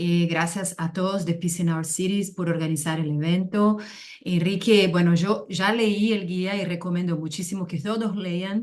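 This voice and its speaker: A woman's medium-pitched voice with a Brazilian accent, monotone and flat, at a fairly slow pace. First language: Portuguese (speaking Spanish). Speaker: NGO executive director. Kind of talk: webinar presentation.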